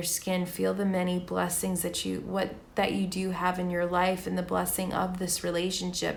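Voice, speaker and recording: A woman speaks at a fairly slow pace in a medium pitch with monotone, flat intonation, and audible room echo is present. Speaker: tarot reader. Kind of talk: tarot reading.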